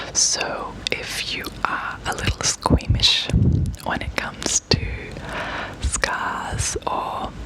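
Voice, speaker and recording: A woman is whispering with an Australian accent. Noticeable background noise can be heard. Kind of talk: ASMR storytime. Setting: close lapel microphone. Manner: whispered.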